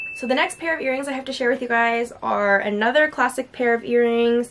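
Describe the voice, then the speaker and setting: A woman talks at a very fast pace with a high pitch. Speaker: lifestyle vlogger. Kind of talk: casual vlog chat. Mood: cheerful, enthusiastic. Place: home room.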